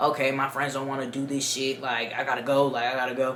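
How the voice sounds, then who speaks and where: Amid noticeable background noise and audible room echo, a woman speaks in an animated tone at a fairly quick pace. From Dominican Republic. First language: Spanish. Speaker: YouTuber storyteller. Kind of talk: casual storytime.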